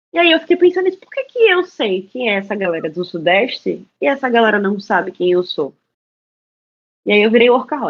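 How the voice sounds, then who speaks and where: With a Pernambuco accent, the speaker goes at a fairly quick pace, with very wide pitch swings and big swings in loudness. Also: woman. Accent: Pernambuco (northeastern Brazilian). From Brazil, Pernambuco (Recife). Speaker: journalist and content creator. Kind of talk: interview talk.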